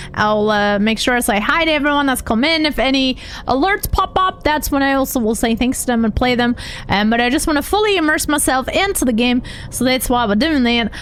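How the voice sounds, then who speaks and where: A woman's animated, high-pitched voice at a fairly quick pace, lively in intonation and very even in loudness, with noticeable background noise. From Germany. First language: German. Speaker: video game streamer. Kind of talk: live gameplay stream chat. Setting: live stream.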